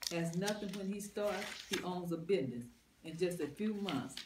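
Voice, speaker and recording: The speaker talks at a fairly quick pace. Noticeable background noise runs under the voice. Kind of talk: reading aloud from a book in a group study.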